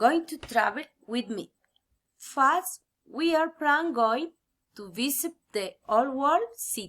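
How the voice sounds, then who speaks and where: With a Spanish accent, a woman speaks at a very slow pace in a high pitch, her tone bright and sharp and her intonation lively. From Colombia, Tolima. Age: 30s. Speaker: student. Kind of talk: class assignment presentation. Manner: careful, halting learner English.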